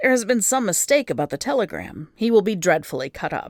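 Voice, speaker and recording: In a put-on character voice, someone delivers raspy, fairly high-pitched lines at a very fast pace on a very clean recording with a silent background. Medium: read story.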